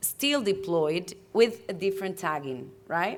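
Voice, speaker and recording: With a non-native accent, a woman is talking. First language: not English. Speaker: climate policy panelist. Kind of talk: panel discussion. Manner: halting, self-correcting.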